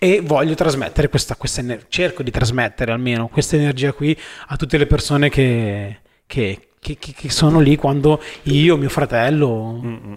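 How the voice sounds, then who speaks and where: Here is a man with an unremarkable speaking voice and a fairly high pitch. He keeps a moderate pace with ordinary pitch variation. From northern Italy, Milan. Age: 30s. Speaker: inline skater and videomaker. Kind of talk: casual chat.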